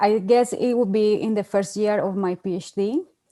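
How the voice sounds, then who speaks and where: Speaking fairly slowly with a Spanish accent, a woman keeps a medium pitch and ordinary pitch variation. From Colombia. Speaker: PhD researcher. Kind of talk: online panel discussion. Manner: hesitant, many fillers.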